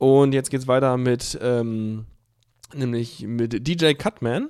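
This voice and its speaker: A man speaks with ordinary pitch variation. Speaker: radio music show host. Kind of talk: casual radio moderation. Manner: casual, hesitant with fillers.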